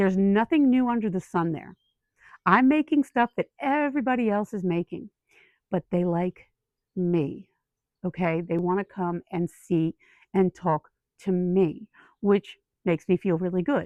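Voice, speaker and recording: With lively intonation, a woman speaks at a medium pitch and a moderate pace. Her speech has long, frequent pauses. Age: 50s. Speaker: lifestyle YouTuber. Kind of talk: casual chat. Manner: conversational, with fillers and restarts.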